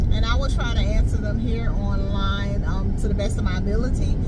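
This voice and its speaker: Over loud background noise, a woman talks at a fairly quick pace in a dry sound with no echo. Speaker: nurse vlogger. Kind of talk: casual vlog chat. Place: car. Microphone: phone near.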